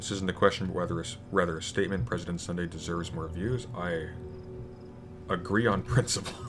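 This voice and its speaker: A man with a very deep, low pitch and ordinary pitch variation, talking at a very fast pace over music in the background. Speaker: YouTuber streaming a video game. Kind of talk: casual live stream with Q&A. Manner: many fillers and hesitations.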